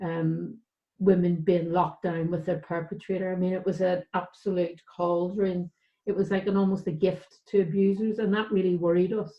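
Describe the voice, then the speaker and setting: In a Northern Irish accent, a woman speaks at a medium pitch and a moderate pace. Her intonation is monotone and flat. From Northern Ireland, West Belfast. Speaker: charity director. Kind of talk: panel discussion.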